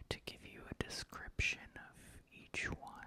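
Whispering from a man. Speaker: horror movie fan channel host. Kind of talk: casual talk to camera. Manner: whispered. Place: home room. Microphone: studio mic.

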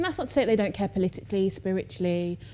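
With a dark, mellow tone and medium pitch, a woman talks at a very fast pace over light background noise. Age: 20s. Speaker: artist. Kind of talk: public conversation. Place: stage.

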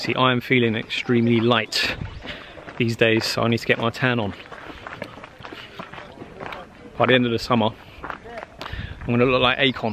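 Over light background noise in a dry sound with no echo, a man speaks at a moderate pace with monotone, flat intonation. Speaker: travel vlogger. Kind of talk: casual vlog chat. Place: waterside. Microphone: phone near.

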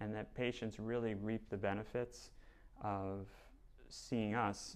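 A man speaks with an American accent at a fairly low pitch. His intonation is monotone and flat. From New Jersey. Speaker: plastic surgeon. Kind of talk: self-introduction video. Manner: hesitant with fillers. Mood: calm, earnest. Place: studio. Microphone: lapel.

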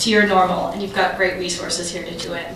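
A woman is speaking with audible room echo. Light background noise sits behind her voice. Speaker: keynote speaker, journalist. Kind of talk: prepared keynote speech. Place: hall.

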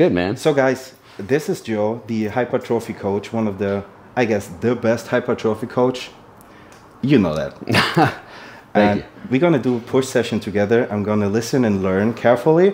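A man speaks at a moderate pace and with ordinary pitch variation, light background noise beneath him. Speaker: fitness vlogger host. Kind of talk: casual vlog chat. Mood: cheerful, laughing. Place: kitchen. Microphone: lapel.

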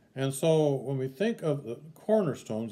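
A dark, mellow tone marks this male voice. He keeps to a moderate pace. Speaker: sunday school teacher. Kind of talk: lecture. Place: home room. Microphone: webcam.

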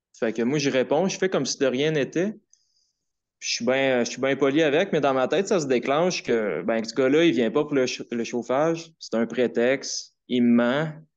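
Fairly high-pitched, a man talks at a fairly slow pace with ordinary pitch variation. The background is quiet. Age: 20s. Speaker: caller, artist; caller. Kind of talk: personal testimony on call-in show. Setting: phone call. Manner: halting. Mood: hesitant, reflective. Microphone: phone line.

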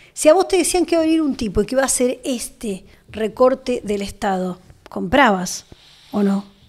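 The speaker has an Argentine accent and a moderate pace. Very wide pitch swings stand out against a quiet background. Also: woman, high pitch for a woman. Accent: Argentine Spanish (Rioplatense). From Argentina. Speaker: journalist and interviewer; journalist, interviewer. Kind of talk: interview. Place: studio. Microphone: studio mic.

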